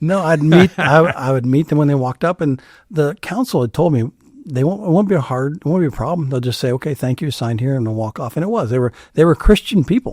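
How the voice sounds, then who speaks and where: In a very clean recording with a silent background, a man talks at a very fast pace in a fairly high pitch, the sound dry and close with no echo. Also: lively intonation. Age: 60s. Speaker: executive pastor. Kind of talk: interview conversation.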